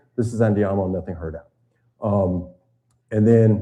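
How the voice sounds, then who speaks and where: A somewhat breathy voice with a dark, mellow tone and an American accent. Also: man. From US South, Tennessee. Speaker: retired naval officer and boating instructor. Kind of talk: seminar lecture. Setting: seminar room with live audience and live stream.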